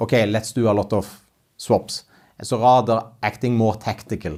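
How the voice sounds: A man speaks at a moderate pace in a fairly low pitch with a slightly mellow tone. His intonation stays fairly even.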